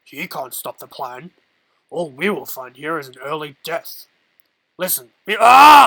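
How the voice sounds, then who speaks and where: A put-on character voice, raspy and fairly slow, with very wide pitch swings, big swings in loudness, and a dry, close sound with no echo. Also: man, high pitch for a man. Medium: read story.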